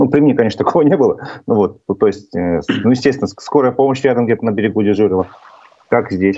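A man at a very fast pace, medium in pitch, with lively intonation and very even loudness. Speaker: talk show host. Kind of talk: interview. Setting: video call.

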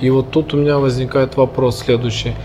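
A man's voice, medium in pitch with fairly even intonation, moves at a moderate pace through noticeable background noise. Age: 30s. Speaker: podcast host. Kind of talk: interview conversation. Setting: cafe.

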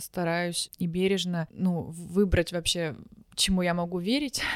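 This is a woman with an ordinary speaking voice. Her pitch is fairly low and her intonation fairly even. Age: 20s. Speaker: podcast guest. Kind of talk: casual chat.

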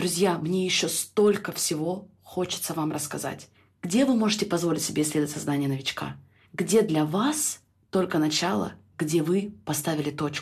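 At a moderate pace, a woman speaks somewhat breathily at a fairly low pitch, with ordinary pitch variation. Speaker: life coach and podcast host. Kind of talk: podcast monologue.

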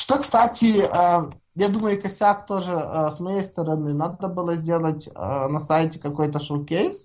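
Very slowly, a woman speaks in a fairly low pitch. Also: ordinary pitch variation. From Ukraine. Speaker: software developer, framework author. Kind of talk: casual interview. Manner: halting, many fillers and repetitions; long-winded talker.

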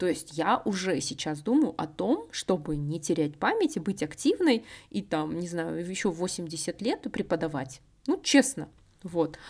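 A woman with an ordinary speaking voice, fairly low in pitch, at a fairly slow pace with lively intonation. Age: 30s. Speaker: podcast host. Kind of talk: solo monologue podcast.

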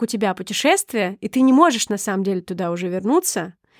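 A woman speaks at a fairly quick pace with lively intonation. The recording is very clean with a silent background, dry and close with no echo. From Sakhalin region, Russian Far East. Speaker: podcast co-host. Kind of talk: scripted narration; casual chat.

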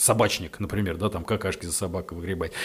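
A somewhat breathy man's voice at a very fast pace, with ordinary pitch variation. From Russia, Ryazan. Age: 30s. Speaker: psychotherapist and addiction doctor. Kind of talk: casual interview chat. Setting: studio.

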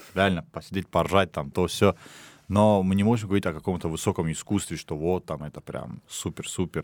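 A plain, everyday voice with ordinary pitch variation moves at a fairly quick pace on a very clean recording with a silent background. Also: man. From Dagestan, Russia. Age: 20s. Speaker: podcast team member. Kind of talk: casual chat.

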